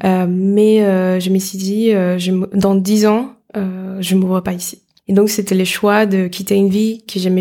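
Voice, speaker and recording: A woman's dark, mellow voice sits at a medium pitch and stays in monotone, flat intonation. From Dominican Republic. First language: Spanish (speaking French). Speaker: startup accelerator director. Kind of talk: interview.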